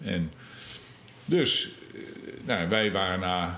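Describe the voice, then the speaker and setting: Amid audible room echo, a man with a very deep, low pitch speaks with ordinary pitch variation. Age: 50s. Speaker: former emigrant. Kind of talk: interview. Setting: in person.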